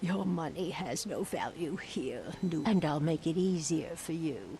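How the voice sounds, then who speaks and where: A put-on character voice at a middle pitch over clear background noise. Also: moderate pace. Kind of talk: video game dialogue. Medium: video game. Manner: cryptic, ominous.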